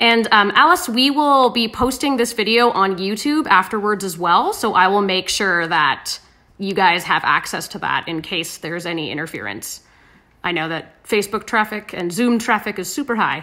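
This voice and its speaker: Her tone bright and sharp, a woman speaks at a moderate pace. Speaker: livestream host. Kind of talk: casual cooking livestream chat. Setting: live video stream. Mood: relaxed, friendly, chatty. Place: kitchen. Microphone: phone near.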